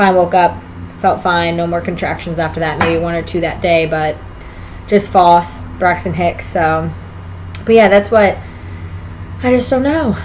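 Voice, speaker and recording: A woman's fairly low voice with ordinary pitch variation, a fairly slow pace, long and frequent pauses, and noticeable background noise. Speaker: vlogger, expectant mother. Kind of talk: casual vlog monologue.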